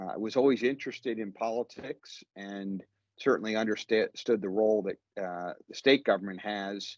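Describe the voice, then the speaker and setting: At a moderate pace, a plain, everyday voice speaks with fairly even intonation in dry sound with no echo and a quiet background. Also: man. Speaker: guest. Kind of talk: interview answer. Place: office. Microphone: video call.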